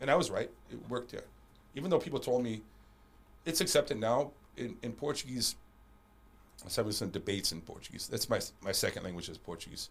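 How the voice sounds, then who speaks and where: A man with a medium pitch and vocal fry talks very fast, with very wide pitch swings, big swings in loudness, and long, frequent pauses. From Panama. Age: 40s. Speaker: martial arts champion and coach. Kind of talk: casual interview chat. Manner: halting, repeats words.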